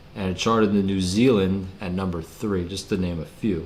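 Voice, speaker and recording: The speech has ordinary pitch variation and audible room echo. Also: man. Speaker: music commentary youtuber. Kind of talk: casual video commentary. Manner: casual, many fillers and repetitions.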